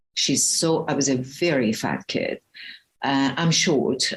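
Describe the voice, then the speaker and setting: A woman speaks fairly slowly in a very deep, low voice. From Iran. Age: 60s. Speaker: spiritual health coach. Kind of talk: interview. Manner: animated.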